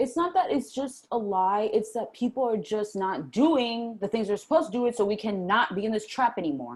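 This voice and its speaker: At a fairly quick pace with hardly any pauses, a woman talks with lively intonation. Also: fairly high pitch for a woman. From US East Coast, Puerto Rican family. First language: Spanish. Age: 20s. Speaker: interview guest, spiritual starseed. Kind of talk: casual interview chat.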